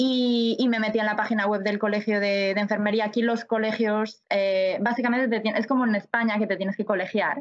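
Fairly quick and fairly high, a woman speaks in monotone, flat intonation. Her loudness stays very even. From Spain, Galicia (A Coruña). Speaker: nurse. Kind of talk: interview.

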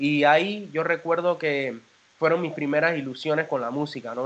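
A man speaks with a Panamanian accent. His pitch sits fairly high. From Panama, Panama City. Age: 30s. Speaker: singer and band founder. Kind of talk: interview.

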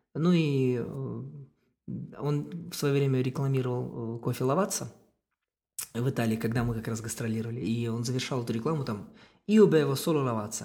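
A man's dark, mellow, medium-pitched voice with lively intonation at a moderate pace. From Kazakhstan. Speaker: circus artist and clown. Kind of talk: casual chat.

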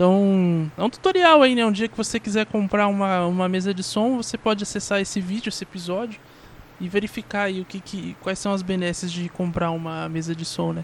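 A man speaking at a high pitch and a fairly quick pace. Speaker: podcaster. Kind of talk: casual solo monologue. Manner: animated.

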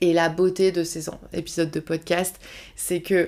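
The recording is very clean, its background silent. In it, a woman talks at a fairly low pitch. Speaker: life coach and podcast host. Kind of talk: solo monologue podcast. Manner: casual, with laughter.

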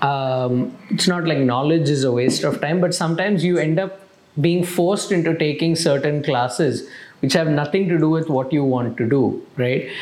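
Amid noticeable background noise, a man with a fairly high pitch and ordinary pitch variation speaks at a fairly slow pace. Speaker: podcast host. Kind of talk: interview conversation.

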